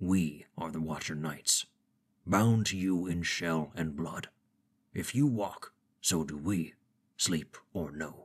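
A booming, rumbling put-on character voice at a fairly slow pace, with long, frequent pauses and ordinary pitch variation. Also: man, very deep, low pitch for a man. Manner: terse, clipped, stern.

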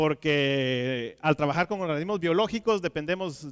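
Over a quiet background, a man with a high pitch speaks at a very slow pace with lively intonation. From Guatemala. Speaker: aquaculture technical manager; conference speaker. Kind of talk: conference talk. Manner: halting, many fillers and repetitions. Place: stage. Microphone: headset.

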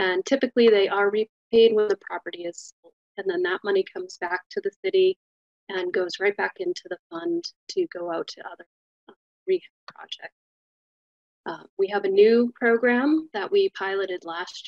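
A woman talks at a moderate pace with big swings in loudness. The sound is dry and close with no echo. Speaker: city program manager. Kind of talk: presentation. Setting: video call.

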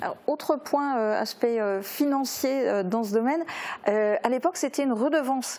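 Her intonation lively, a woman speaks at a moderate pace in a normal speaking voice. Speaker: news anchor. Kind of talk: news presenting and interview. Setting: studio. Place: studio. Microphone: lapel.

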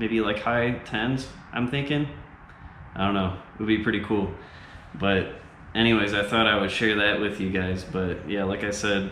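The man speaks at a moderate pace with a fairly low pitch and long, frequent pauses. Audible room echo and light background noise surround him. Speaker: car enthusiast vlogger. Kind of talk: casual vlog chat. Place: garage.

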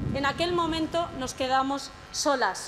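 Light background noise can be heard. A woman talks with fairly even intonation. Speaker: speaker. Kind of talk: rally speech. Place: stage. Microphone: podium.

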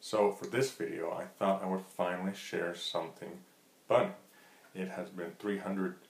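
There's audible room echo around this man. He talks at a moderate pace. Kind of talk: casual vlog chat. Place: kitchen. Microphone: webcam.

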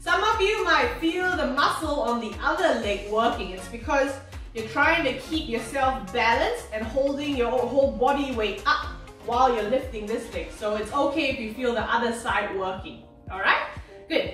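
A woman speaks in a high pitch, with audible room echo. Faint music plays in the background. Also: moderate pace. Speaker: physiotherapist instructor. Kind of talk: exercise class instruction. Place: home room. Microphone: camera far.

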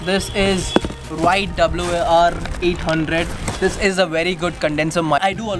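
Clear music plays behind a voice that moves at a fairly slow pace with flat, monotone intonation. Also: man. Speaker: tech vlogger. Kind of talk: casual unboxing vlog chat.

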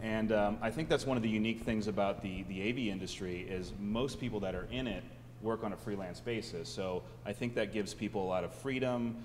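Vocal fry colors this fairly quick delivery with fairly even intonation. Light background noise is present. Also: man. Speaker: panel moderator. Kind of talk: panel discussion. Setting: stage with audience. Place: hall. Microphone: handheld.

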